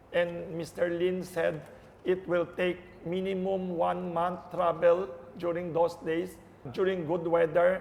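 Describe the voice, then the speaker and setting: Against noticeable background noise, a man talks at a fairly slow pace in a high, monotone voice with flat intonation. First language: Hokkien (Minnan). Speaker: visiting media professional. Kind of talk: interview. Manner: halting.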